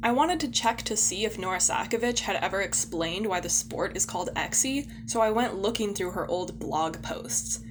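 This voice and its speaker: A woman talking at a moderate pace with hardly any pauses, music in the background. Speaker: podcast co-host. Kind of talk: casual chat; scripted narration.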